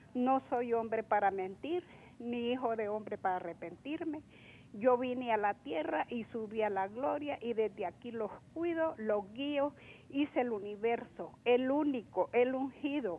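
Using a plain, everyday voice, a woman speaks at a fairly slow pace with a fairly high pitch and lively intonation. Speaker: caller. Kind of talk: phone-in question. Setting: phone call.

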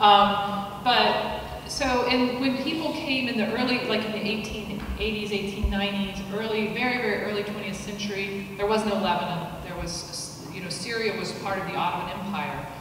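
A woman speaks at a moderate pace with hardly any pauses and ordinary pitch variation. Strong room echo and noticeable background noise surround her. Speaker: guest lecturer. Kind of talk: lecture. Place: hall.

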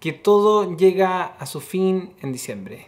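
A man's high-pitched voice at a fairly slow pace. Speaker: vlogger. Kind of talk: casual vlog chat. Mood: reflective, upbeat. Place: home room. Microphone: phone near.

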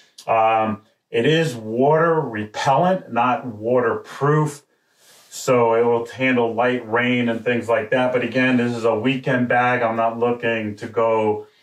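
Spoken at a fairly slow pace, the clip has a quiet background and audible room echo. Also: man, fairly even intonation. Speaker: product reviewer. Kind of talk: product review talk. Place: studio.

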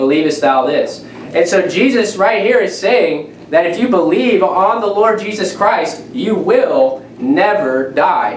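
Audible room echo follows a man speaking at a fairly slow pace. Light background noise is present. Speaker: preacher. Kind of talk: sermon. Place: home room.

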